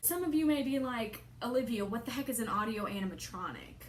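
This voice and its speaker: Audible room echo and ordinary pitch variation. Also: woman. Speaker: vlogger. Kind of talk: casual chat. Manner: soft-spoken.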